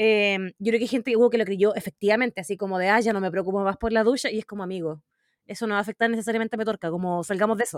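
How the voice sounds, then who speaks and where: With a Chilean accent, a woman at medium pitch talks very fast and with fairly even intonation, in a very clean, dry, close recording with a silent background and no echo. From southern Chile, Magallanes. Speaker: podcast co-host. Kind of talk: casual chat.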